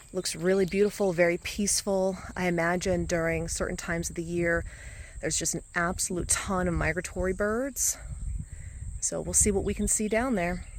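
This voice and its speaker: At a moderate pace, a woman with a fairly low voice and ordinary pitch variation talks in an unremarkable speaking voice. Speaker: hiking vlogger. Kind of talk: walking vlog narration. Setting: outdoors. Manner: casual.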